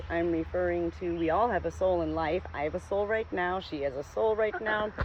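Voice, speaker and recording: A woman keeps a moderate pace, and noticeable background noise can be heard behind her. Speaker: spiritual vlogger. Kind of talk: casual vlog monologue. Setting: outdoors on a farm. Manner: rambling, jumps between topics.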